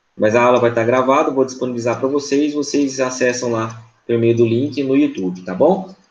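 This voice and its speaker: A man speaks at a moderate pace in a medium pitch. There is audible room echo. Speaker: law professor. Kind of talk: lecture.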